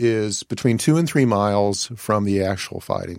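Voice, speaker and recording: With an American accent, a man talks at a fairly slow pace in a fairly low pitch with ordinary pitch variation. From Virginia. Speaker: historian. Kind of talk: interview.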